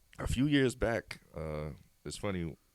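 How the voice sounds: The tone is slightly mellow. It is also clear and smooth. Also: man.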